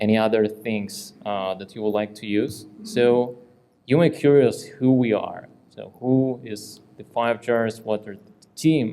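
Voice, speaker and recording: A man with a dark, mellow tone speaks at a medium pitch with fairly even intonation and big swings in loudness. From Ukraine. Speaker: tech company CEO, conference speaker. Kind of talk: conference talk. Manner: halting.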